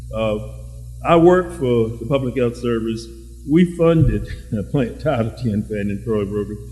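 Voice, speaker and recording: A man at a fairly slow pace with long, frequent pauses, amid noticeable background noise. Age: 70s. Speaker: audience member, retired public health worker. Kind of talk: audience comment in a public discussion.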